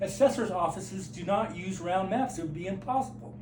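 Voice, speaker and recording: A man speaks at a high pitch and moderate pace, his pitch swinging very widely. Room echo and noticeable background noise can be heard. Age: 60s. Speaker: flat earth video maker. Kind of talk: direct-to-camera monologue. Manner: halting.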